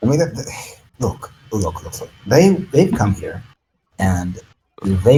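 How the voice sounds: The speaker reads in a natural reading voice. The background is quiet.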